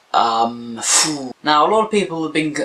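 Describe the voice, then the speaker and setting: Speaking at a moderate pace, a man has an unremarkable speaking voice with lively intonation. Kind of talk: casual talk to camera, TV episode review.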